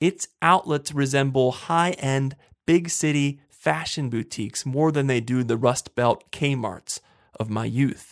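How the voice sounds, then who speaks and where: With an American accent and an ordinary speaking voice, a man talks at a fairly slow pace and a fairly high pitch, in a very clean recording with a silent background and a dry, close sound with no echo. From western Pennsylvania, Johnstown. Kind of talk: solo monologue podcast.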